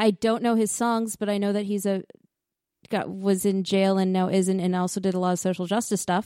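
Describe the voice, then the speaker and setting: The woman speaks at a fairly quick pace. Her pitch is medium. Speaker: sports podcast co-host. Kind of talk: casual banter. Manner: animated, joking.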